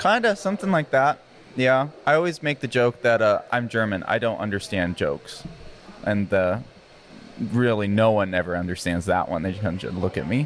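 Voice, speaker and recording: An American accent marks this man's ordinary speaking voice, medium in pitch, moderate in pace and lively in intonation. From Arizona. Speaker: podcast host. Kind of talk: casual chat.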